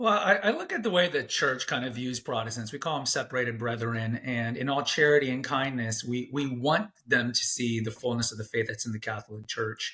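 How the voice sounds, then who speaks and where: A man with a plain, everyday voice at medium pitch talks at a fairly quick pace with hardly any pauses and ordinary pitch variation. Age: 40s. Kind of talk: interview conversation.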